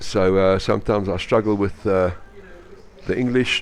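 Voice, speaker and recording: With a South African accent, a man speaks at a moderate pace and with ordinary pitch variation, while noticeable background noise sits behind him. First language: Afrikaans. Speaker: sports commentator. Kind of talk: live commentary. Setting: indoor swimming pool venue. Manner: animated.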